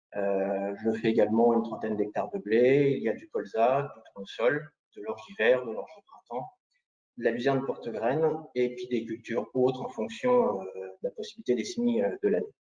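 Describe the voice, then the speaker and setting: Moderately paced, a man talks at medium pitch with ordinary pitch variation. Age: 30s. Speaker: farmer. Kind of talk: testimony at a press conference. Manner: halting, many hesitations.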